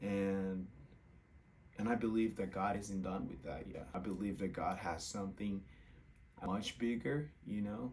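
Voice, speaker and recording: Speaking very slowly, a man talks in a Portuguese accent. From Brazil. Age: 20s. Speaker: content creator, former college soccer player. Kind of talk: casual vlog testimony.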